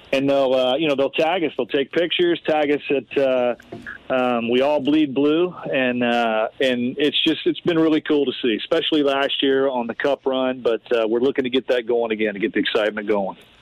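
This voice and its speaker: Over noticeable background noise, the speaker keeps a moderate pace, very even loudness and ordinary pitch variation. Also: man, medium pitch for a man. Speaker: sports team executive. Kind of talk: radio interview. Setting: phone call from home front porch.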